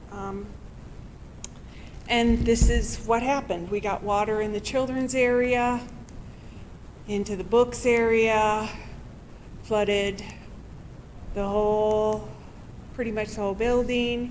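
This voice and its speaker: Amid audible room echo, a woman talks very slowly in a fairly high, monotone, flat voice with long, frequent pauses. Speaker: library director. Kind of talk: public meeting presentation. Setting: city committee meeting. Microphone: too far from mic.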